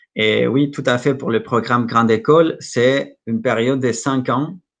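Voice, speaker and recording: This man talks with a Mexican accent and vocal fry. His intonation stays fairly even. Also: quiet background. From Mexico. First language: Spanish (speaking French). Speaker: school representative presenting study programs. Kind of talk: Q&A at an online conference. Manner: halting, many hesitations and repetitions.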